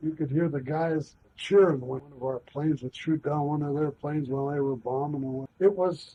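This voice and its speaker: A man talks at a fairly quick pace and fairly high pitch, somewhat breathy, with big swings in loudness. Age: 70s. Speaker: war veteran. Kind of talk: oral history interview. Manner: halting.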